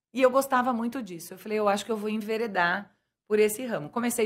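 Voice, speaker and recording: A woman talks in a normal speaking voice at a fairly high pitch and a fairly quick pace, with fairly even intonation. The recording is very clean, with a silent background. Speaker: businesswoman and bilingual school owner. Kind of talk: interview.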